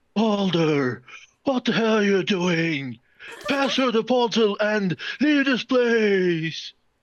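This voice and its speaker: Someone puts on a character voice at a fairly high pitch. The delivery is very slow. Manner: ghostly, eerie.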